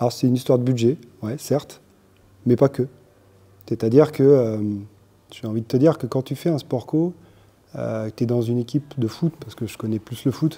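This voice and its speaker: A man's dark, mellow voice at a fairly quick pace, broken by long, frequent pauses, with ordinary pitch variation. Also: medium pitch for a man. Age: 40s. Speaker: business owner, parent of young rider. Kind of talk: interview.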